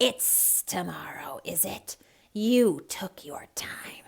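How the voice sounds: Delivered at a very slow pace, this put-on character voice comes out raspy and hissing. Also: female-sounding voice, medium pitch for a woman.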